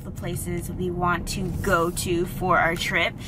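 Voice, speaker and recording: A woman's voice over noticeable background noise. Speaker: travel vlogger. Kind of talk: casual vlog chat. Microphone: phone near.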